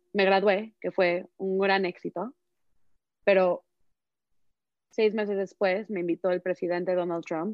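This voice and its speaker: A woman speaks with a fairly low voice. Her intonation is flat and monotone. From Mexico. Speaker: activist speaker. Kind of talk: panel discussion.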